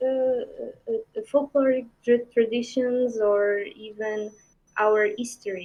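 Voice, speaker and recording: Delivered at a very slow pace, the speech comes with a Portuguese accent. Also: woman. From Portugal. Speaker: indie game developer. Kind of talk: interview. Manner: halting.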